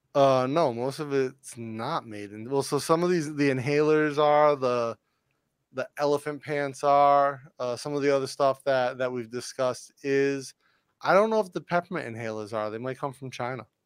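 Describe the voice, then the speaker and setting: A man with a fairly high voice, a plain, everyday voice, keeps a moderate speed and ordinary pitch variation. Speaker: podcast co-host, business owner. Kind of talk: casual chat.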